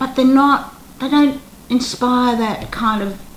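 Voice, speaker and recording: Speaking very slowly with lively intonation, a woman with an Australian accent is heard amid audible room echo and noticeable background noise. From Australia, Melbourne. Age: 70s. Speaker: retired actress. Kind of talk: interview.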